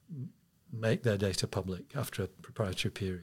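Somewhat breathy, a man talks at a very fast pace with lively intonation. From England. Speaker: astronomer. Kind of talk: interview.

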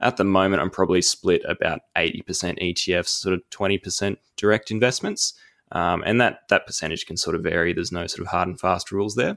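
On a very clean recording with a silent background and a dry, close sound with no echo, a man with an Australian accent speaks at a fairly quick pace and a fairly low pitch. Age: 20s. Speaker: investment analyst. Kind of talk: casual interview.

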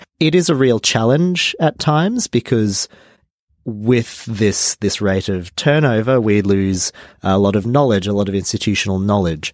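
On a very clean recording with a silent background, a man with an Australian accent and a fairly low pitch speaks at a moderate pace with lively intonation. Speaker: climate activist organizer. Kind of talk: interview. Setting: studio.

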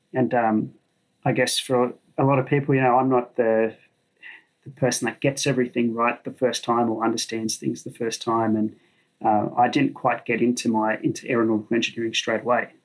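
This man speaks at a fairly quick pace in an Australian accent. His medium pitch stays monotone and flat. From Sydney, Australia. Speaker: flight test engineer. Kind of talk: casual chat. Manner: halting.

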